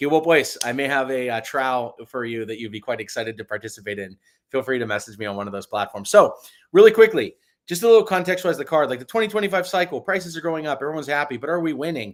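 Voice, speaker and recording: In a very clean recording with a silent background, a man with an American accent talks very fast at a fairly high pitch, with very wide pitch swings and big swings in loudness. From New York. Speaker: product lead at a crypto company. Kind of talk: presentation.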